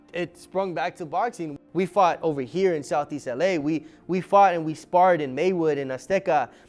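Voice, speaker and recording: Music plays in the background as a man with an American accent and a high pitch talks at a moderate pace with hardly any pauses and ordinary pitch variation. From Echo Park, Los Angeles. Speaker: coffee shop owner. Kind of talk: interview answer. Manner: casual.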